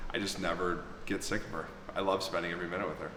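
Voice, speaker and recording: A man speaks in a flat monotone. There is audible room echo and noticeable background noise. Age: 40s. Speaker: YouTuber, podcast guest. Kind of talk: casual interview chat.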